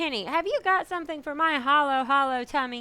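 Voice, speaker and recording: A woman puts on a character voice with a high pitch and a fairly quick pace. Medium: read story. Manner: loud, demanding.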